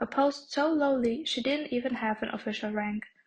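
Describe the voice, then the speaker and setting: A woman with a non-native accent, high pitch, ordinary pitch variation, and a moderate pace. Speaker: audiobook narrator. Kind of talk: reading aloud.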